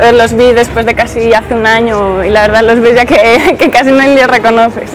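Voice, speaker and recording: With music in the background and audible room echo, a woman speaks at a fairly quick pace in very even loudness. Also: fairly high pitch for a woman, fairly even intonation. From Aragon, Spain (Zaragoza). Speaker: office worker and model living abroad. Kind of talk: street interview. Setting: outdoors in a city square.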